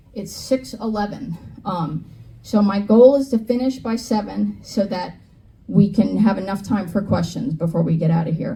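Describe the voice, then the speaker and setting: A woman with an American accent talks at a moderate pace and a medium pitch, varying it in an ordinary way. Audible room echo fills the recording. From New York / New Jersey area. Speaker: climate educator. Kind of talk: lecture. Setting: stage with audience. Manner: animated.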